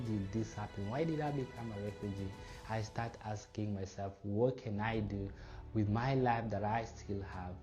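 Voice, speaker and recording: Music plays in the background as the speech moves at a moderate pace with fairly even intonation and audible room echo. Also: man. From Democratic Republic of the Congo. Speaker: refugee speaker. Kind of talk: personal testimony talk. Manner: measured, with filler pauses.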